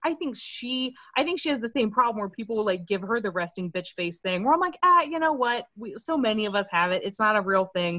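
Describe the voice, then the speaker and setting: With an American accent, a woman talks at a fairly quick pace, her pitch swinging very widely. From Maryland, US. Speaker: stand-up comedian. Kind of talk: casual chat.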